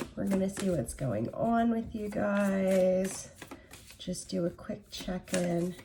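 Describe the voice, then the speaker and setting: A woman at medium pitch and very slow pace, ordinary pitch variation, noticeable background noise. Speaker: tarot reader. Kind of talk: tarot reading. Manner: casual, conversational.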